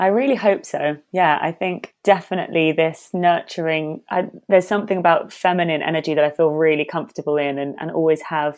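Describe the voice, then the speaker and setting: Speaking in a London accent, a woman talks at a fairly quick pace with hardly any pauses, her fairly low pitch carrying ordinary variation. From London, Hackney (England). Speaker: actor and meditation teacher. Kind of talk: podcast interview.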